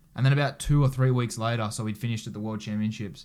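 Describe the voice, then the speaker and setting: With an Australian accent, a man speaks in a fairly even intonation. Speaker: Olympic judo athlete. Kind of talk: casual interview chat.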